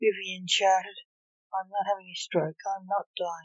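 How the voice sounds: Fairly even intonation in a natural reading voice, quiet background behind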